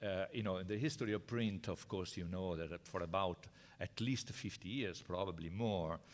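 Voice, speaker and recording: Ordinary pitch variation with an Italian accent, on a very clean recording with a silent background. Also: man. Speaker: professor. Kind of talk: lecture. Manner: halting.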